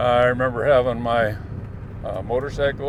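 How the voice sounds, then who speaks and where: A man with an American accent speaks at medium pitch with fairly even intonation. Audible room echo and noticeable background noise are present. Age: 70s. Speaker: vlogger and Vietnam veteran. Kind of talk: casual reminiscing vlog. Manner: halting, many filler pauses.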